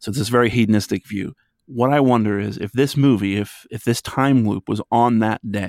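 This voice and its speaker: Recorded very cleanly against a silent background, with a dry, close sound and no echo, a man in an American accent uses an ordinary speaking voice, medium pitch and ordinary pitch variation. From western Pennsylvania. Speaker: psychology podcaster. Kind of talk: casual chat.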